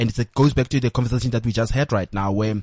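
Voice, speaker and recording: Very fast and somewhat breathy, a man speaks at a medium pitch with ordinary pitch variation in a dry, close sound with no echo. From South Africa, rural village. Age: 30s. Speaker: entertainment commentator and blogger. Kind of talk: interview. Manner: halting, many fillers and repetitions.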